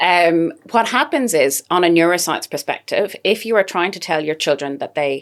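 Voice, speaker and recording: In an Irish accent, a woman speaks with lively intonation at a fairly low pitch. The recording is very clean, with a silent background. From Ireland. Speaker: dietitian. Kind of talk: podcast interview.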